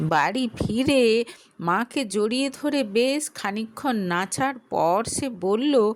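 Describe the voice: Speaking slowly, a woman uses a fairly high pitch and lively intonation.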